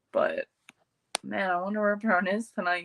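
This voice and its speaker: A woman's medium-pitched voice, bright and sharp, in a dry, close sound with no echo. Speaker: horror movie YouTuber. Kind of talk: casual livestream chat. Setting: livestream.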